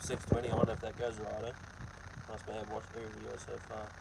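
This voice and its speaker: There is noticeable background noise. Over it, a man speaks very fast. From New Zealand, Hawke's Bay. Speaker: truck driver and vlogger. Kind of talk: casual live-stream chat reading comments. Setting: live stream while loading truck trailer.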